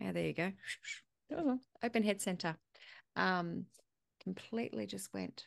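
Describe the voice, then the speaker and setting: With an Australian accent, a woman talks at a moderate pace, leaving long, frequent pauses. Her background is quiet. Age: 40s. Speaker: podcast host. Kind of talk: casual interview chat.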